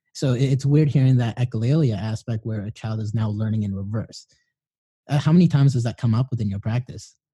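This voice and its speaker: A somewhat breathy, dark and mellow man's voice at medium pitch, fairly quick, with ordinary pitch variation and a dry, close sound with no echo. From Filipino background. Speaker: podcast host. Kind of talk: casual interview chat.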